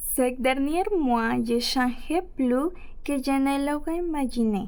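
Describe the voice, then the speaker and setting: Very slow and at very even loudness, a woman speaks in a high pitch with audible room echo. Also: ordinary pitch variation. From Ecuador. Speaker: French-learning immigrant storyteller. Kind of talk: reading aloud personal story.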